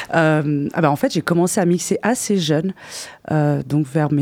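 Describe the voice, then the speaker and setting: Her pitch is very deep and low, with ordinary variation. The woman's tone is dark and mellow. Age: 30s. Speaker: DJ. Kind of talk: casual radio interview. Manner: halting, repeats words.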